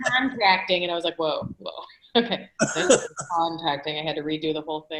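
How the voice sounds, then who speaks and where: A strong Michigan accent, with big swings in loudness, a fairly quick pace and ordinary pitch variation. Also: woman, fairly low pitch for a woman. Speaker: Rotary club member. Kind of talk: casual chat.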